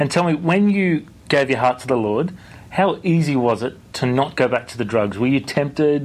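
This man has an ordinary speaking voice at a fairly high pitch. He moves at a moderate pace with lively intonation. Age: 30s. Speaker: radio host and pastor. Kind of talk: interview.

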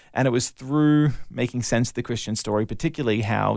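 In a very clean recording with a silent background, a man at medium pitch talks at a very fast pace with vocal fry. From Australia (Melbourne, then Brisbane). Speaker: evangelist and apologist. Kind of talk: interview testimony.

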